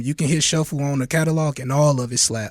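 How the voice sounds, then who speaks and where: In a very clean recording with a silent background, a man with an American accent speaks at a fairly high pitch with ordinary pitch variation. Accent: sounds a little country. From St. Louis, Missouri. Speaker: rapper. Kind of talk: casual interview.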